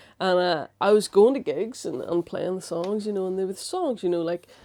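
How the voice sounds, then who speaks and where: A woman in a Northern Irish accent at a moderate pace, in a very clean recording with a silent background. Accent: Strabane. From Northern Ireland, Strabane. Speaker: musical comedian and science communicator. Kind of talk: casual chat. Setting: studio interview on a sofa.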